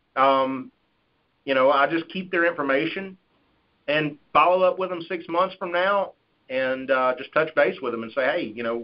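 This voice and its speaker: With a Southern US accent, a man talks at a fairly high pitch with ordinary pitch variation. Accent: Southern twang. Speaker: life insurance sales agent. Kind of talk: conference call Q&A. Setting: phone call.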